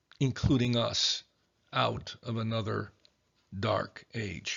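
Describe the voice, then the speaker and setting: A man speaks with vocal fry. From Chicago, US, German-speaking home. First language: German. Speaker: history lecturer. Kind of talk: lecture.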